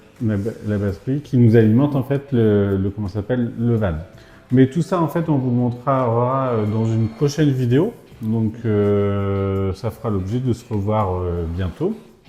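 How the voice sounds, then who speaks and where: Speaking at a fairly slow pace, a man has a medium pitch, ordinary pitch variation and a dark, mellow tone. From Brittany, France. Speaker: vlogger. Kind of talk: casual chat. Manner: hesitant, many fillers.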